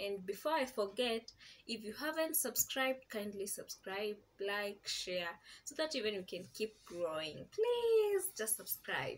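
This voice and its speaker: A woman speaks at a fairly slow pace with lively intonation over light background noise. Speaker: vlogger. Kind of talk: casual vlog chat. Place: home room. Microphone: camera far.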